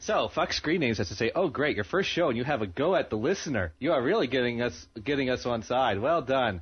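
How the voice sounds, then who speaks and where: A man with an American accent speaks at a fairly quick pace and sounds somewhat breathy. His pitch swings very widely. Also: medium pitch for a man. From New Jersey. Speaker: amateur internet radio host. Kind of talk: casual chat. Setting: home studio, live internet radio.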